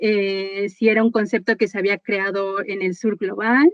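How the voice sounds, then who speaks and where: A woman at a medium pitch and a fairly slow pace. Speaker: researcher. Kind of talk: lecture. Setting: video call. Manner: halting.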